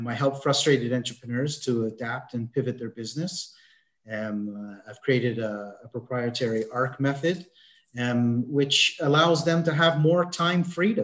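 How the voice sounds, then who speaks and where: With a Canadian accent, a man talks at a moderate pace and medium pitch, his pitch varying in an ordinary way. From Canada. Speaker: mindset consultant. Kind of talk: interview. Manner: halting, many fillers.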